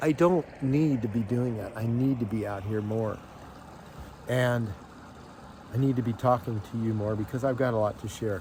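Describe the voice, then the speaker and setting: This man talks at a medium pitch with ordinary pitch variation, leaving long, frequent pauses. Noticeable background noise sits behind him. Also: moderate pace. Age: 60s. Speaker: lifestyle vlogger. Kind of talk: casual vlog monologue. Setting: outdoors on a lake.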